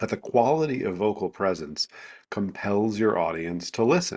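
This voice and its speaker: Lively intonation carries this fairly slow delivery on a very clean recording with a silent background. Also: man. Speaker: vocal presence coach. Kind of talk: interview answer.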